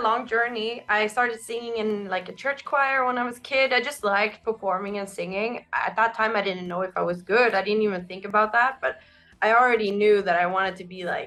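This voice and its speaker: A woman talking at a fairly quick pace with ordinary pitch variation. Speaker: rock band singer. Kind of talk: interview. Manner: casual.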